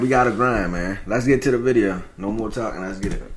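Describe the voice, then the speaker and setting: A man with a Baltimore accent talks at a fairly quick pace in a medium pitch and an animated tone. Audible room echo surrounds him. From Baltimore, US. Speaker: reaction YouTuber. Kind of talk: casual reaction commentary.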